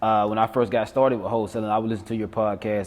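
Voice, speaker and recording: A man talks with a South Georgia accent. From South Georgia, US. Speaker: real estate wholesaler. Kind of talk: interview conversation.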